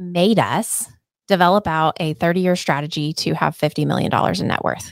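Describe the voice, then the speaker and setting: A woman with an American accent and a fairly low pitch uses a plain, everyday voice at a moderate pace with ordinary pitch variation, in a dry, close sound with no echo. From Oklahoma. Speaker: real estate team owner and broker. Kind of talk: podcast interview.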